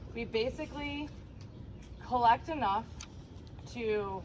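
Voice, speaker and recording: A woman talks at a very slow pace. The room echo is audible. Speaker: HOA board member. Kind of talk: community meeting presentation. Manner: loud.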